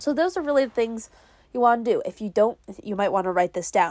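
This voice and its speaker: On a very clean recording with a silent background, a woman with a fairly high pitch mumbles at a moderate pace in an upbeat, enthusiastic tone with lively intonation. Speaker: podcast host. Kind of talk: casual solo monologue. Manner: mumbly, unplanned, chatty.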